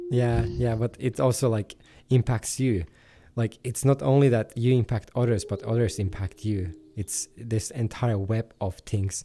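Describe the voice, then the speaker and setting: With a non-native accent, a man speaks in a dark, mellow, somewhat breathy tone with ordinary pitch variation, on a very clean recording with a silent background. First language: not English. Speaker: meditation group leader. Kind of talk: casual discussion. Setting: VRChat voice chat. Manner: hesitant, many fillers.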